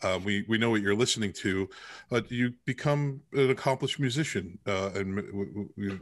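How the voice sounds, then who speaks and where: Against a quiet background, a plain, everyday voice moves at a moderate pace with ordinary pitch variation. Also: man, fairly low pitch for a man. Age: 50s. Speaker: podcast host. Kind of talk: casual interview chat.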